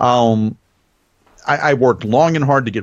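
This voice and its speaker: A man at a medium pitch, with a slight Southern US accent. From US South. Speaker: radio host. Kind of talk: interview chat. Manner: varied pace and pitch.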